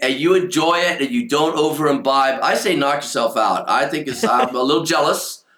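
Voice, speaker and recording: A man speaks with lively intonation. Noticeable background noise and audible room echo come through. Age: 70s. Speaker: author. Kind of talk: casual chat.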